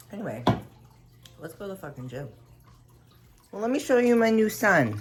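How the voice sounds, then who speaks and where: At a fairly quick pace, a woman of medium pitch speaks with very wide pitch swings and big swings in loudness, with audible room echo. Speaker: fitness vlogger. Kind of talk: casual vlog. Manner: animated.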